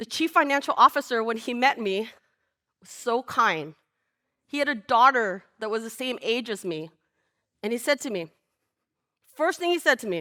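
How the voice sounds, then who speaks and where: A woman with a Lao accent talks at a moderate pace and a high pitch, with very wide pitch swings and big swings in loudness. Long, frequent pauses mark her speech, and the recording is very clean with a silent background. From Laos, raised in California from age four. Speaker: storyteller. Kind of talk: live storytelling. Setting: stage with audience.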